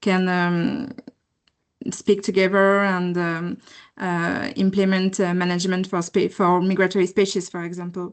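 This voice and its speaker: In a French accent, a woman talks at a moderate pace and medium pitch with fairly even intonation against a quiet background. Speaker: postdoctoral researcher. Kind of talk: question in webinar Q&A. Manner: halting, many fillers.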